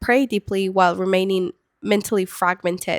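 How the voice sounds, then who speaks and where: A woman speaks in a Spanish accent at a moderate pace. The recording is very clean, with a silent background and a dry, close sound with no echo. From Peru. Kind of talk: faith talk to camera. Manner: casual with fillers.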